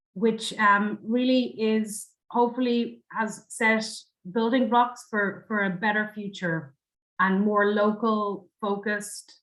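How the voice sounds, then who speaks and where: A woman's fairly high voice with an Irish accent, very slow in pace, with fairly even intonation. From Ireland. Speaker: university international officer. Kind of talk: panel presentation.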